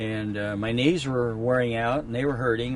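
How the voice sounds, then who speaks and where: A man of medium pitch speaks at a moderate pace with fairly even intonation. Noticeable background noise can be heard. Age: 70s. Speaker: hunting outfitter. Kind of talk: testimonial.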